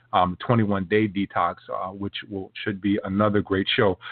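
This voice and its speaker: A man's fairly low voice, monotone and flat, at a moderate pace. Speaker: podcast host. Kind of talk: casual podcast intro. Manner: halting, stumbling over words; hesitant, frequent fillers.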